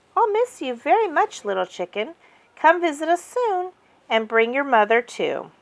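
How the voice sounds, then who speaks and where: In a put-on character voice, a female-sounding speaker uses high pitch with very wide pitch swings. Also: moderate pace. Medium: read story. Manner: enthusiastic.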